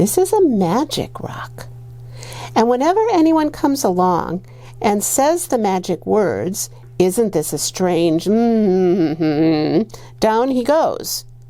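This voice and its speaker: A woman puts on a character voice at a medium pitch, speaking at a fairly slow pace. Light background noise can be heard. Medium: read story. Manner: sly.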